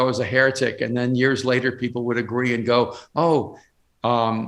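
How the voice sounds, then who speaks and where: A man's voice at a medium pitch. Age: 60s. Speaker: pastor and author. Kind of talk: interview. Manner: halting, many repeated words.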